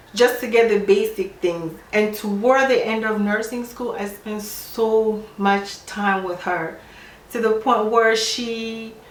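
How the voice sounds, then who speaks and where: Fairly high-pitched woman's voice, very slow pace, fairly even intonation, noticeable background noise. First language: not English. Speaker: nurse. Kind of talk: casual talk to camera.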